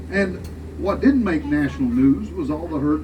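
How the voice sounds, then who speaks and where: This man talks with a Southern US accent in a very deep, low pitch, his pitch swinging very widely over noticeable background noise. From US South. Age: 70s. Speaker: tour guide. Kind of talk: guided tour commentary. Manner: animated.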